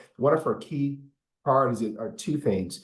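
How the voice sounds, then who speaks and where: A man talks at a fairly quick pace with ordinary pitch variation, and there is audible room echo. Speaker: city administrator. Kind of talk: town hall Q&A answer. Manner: fast; halting, repeats words.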